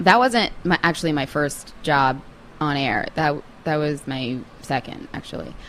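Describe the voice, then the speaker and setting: A woman with an American accent has a very deep, low pitch and lively intonation. She speaks at a fairly slow pace. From Long Island, New York. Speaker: TV news reporter. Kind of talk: casual chat.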